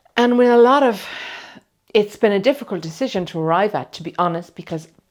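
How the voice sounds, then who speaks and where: Over a very clean recording with a silent background, a woman with an unremarkable speaking voice talks at a moderate pace with lively intonation. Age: 60s. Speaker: client having a cosmetic procedure. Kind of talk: personal testimony to camera. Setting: clinic treatment room.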